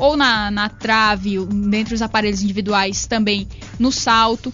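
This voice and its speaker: Music plays in the background as a woman speaks. Her pitch is fairly high and her pace very slow. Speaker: radio sports presenter. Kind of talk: radio sports show hosting.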